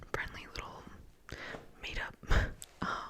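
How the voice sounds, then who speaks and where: A woman whispers in a relaxed tone. Noticeable background noise can be heard. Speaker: ASMR creator. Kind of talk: ASMR storytime, rambling personal anecdote. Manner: whispered, close-up, relaxed rambling.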